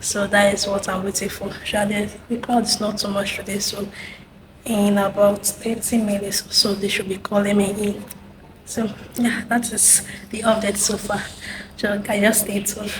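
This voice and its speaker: A woman whispering at a moderate pace, over noticeable background noise. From Nigeria. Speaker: nursing intern vlogger. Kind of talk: vlog. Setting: hospital waiting area.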